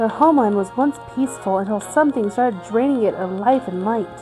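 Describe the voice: A woman speaks at a fairly high pitch and a fairly quick pace, her tone dark and mellow, with ordinary pitch variation and faint music in the background.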